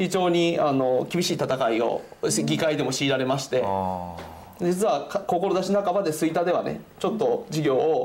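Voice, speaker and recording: Through audible room echo and noticeable background noise, a man's fairly high voice holds a very even loudness while his pitch swings very widely. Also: moderate pace. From Japan, Fukui. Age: 30s. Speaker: politician. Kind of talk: casual interview.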